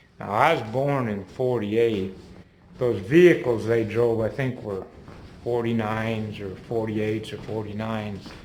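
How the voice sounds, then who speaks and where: A man's medium-pitched voice in an American accent at a fairly slow pace, with audible room echo. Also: ordinary pitch variation. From Minnesota. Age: 70s. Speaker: vlogger. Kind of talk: casual walking-tour commentary. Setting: indoors on a house tour, handheld camera. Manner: casual, halting.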